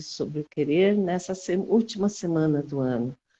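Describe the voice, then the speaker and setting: A woman's tone is dark and mellow. The sound is dry and close with no echo, over a quiet background. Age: 60s. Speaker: physical education teacher. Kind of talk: casual chat. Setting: video call. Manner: halting.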